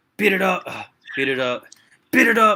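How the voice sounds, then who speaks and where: A man's raspy, put-on character voice, shouting at a high pitch and a moderate pace. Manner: energetic, near-screaming, aggressive.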